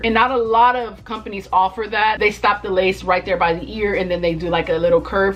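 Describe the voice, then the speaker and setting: Music plays in the background as a woman speaks. Her pitch is medium, with ordinary variation. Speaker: beauty vlogger. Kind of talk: product review. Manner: fast; animated.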